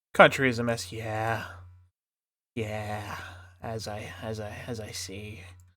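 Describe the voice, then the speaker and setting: A man speaks very slowly in a relaxed, bright, sharp tone, fairly low and monotone, with long, frequent pauses and audible room echo. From Australia. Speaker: streamer and artist. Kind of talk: casual live stream chat. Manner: relaxed, halting.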